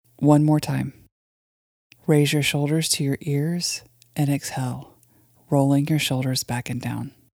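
Fairly slow speech broken by long, frequent pauses, in a very clean recording over a silent background. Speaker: guided meditation host. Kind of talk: guided meditation.

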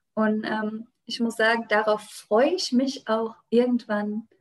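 A woman talks at a fairly high pitch, her voice somewhat breathy. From Germany, Rheinhessen. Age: 20s. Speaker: winemaker and regional wine queen. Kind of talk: interview.

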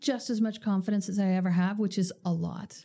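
A woman with a Canadian accent and a medium pitch is heard over noticeable background noise. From Canada. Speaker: bank executive. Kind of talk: interview.

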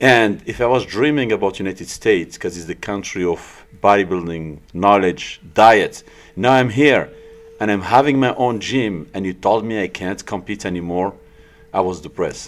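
At a moderate pace, a man with a French accent talks in a fairly low pitch with ordinary pitch variation. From France (born in Morocco). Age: 40s. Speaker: bodybuilder and gym owner. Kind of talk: casual interview. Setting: studio.

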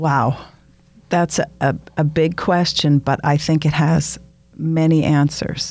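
A woman's very deep, low voice in an American accent, monotone and flat, at a very slow pace with very even loudness. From Wisconsin (Frederick). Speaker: podcast guest. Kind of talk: casual chat.

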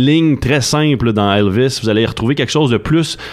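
This man speaks with a Quebec accent. His pitch is medium and his pace moderate. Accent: Québécois French. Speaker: film columnist. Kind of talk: radio chronicle, casual chat.

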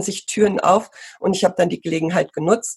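Her voice is a woman's, somewhat breathy and at a medium pitch. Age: 50s. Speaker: pony riding instructor and marketing entrepreneur. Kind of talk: interview conversation.

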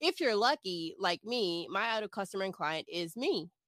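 A woman's medium-pitched voice in a confident tone, with a dry, close sound and no echo. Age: 30s. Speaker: social media marketer and business coach. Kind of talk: casual interview chat.

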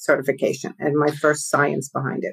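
In a New York accent, a woman talks at a moderate pace with a very deep, low pitch. The recording is very clean, with a silent background. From East Coast, New York tri-state area. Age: 50s. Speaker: podcast guest, business coach.

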